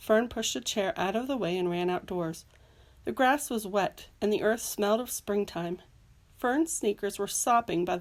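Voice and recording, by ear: The pitch moves in an ordinary way. A natural voice reads the words aloud.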